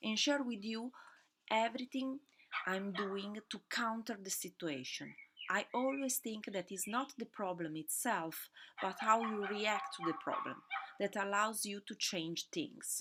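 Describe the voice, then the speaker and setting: Speaking fairly slowly, a woman has an Italian accent. Her pitch varies in an ordinary way. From Italy. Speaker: podcast host, fashion business owner. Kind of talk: solo podcast monologue. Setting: at home during lockdown. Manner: halting, many fillers. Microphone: laptop mic, audio not perfect.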